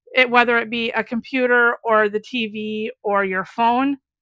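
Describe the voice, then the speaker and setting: A loud woman with a fairly high pitch and a bright, sharp tone, in an American accent, at a fairly slow pace, on a very clean recording with a silent background and a dry, close sound with no echo. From US Midwest, Wisconsin. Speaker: craft YouTuber. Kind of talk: casual chat.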